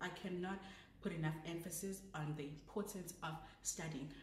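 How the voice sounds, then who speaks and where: Over noticeable background noise and audible room echo, a woman speaks at a fairly slow pace with a fairly low pitch and ordinary pitch variation. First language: not English. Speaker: vlogger, law graduate. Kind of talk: casual advice vlog. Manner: chatty, self-correcting.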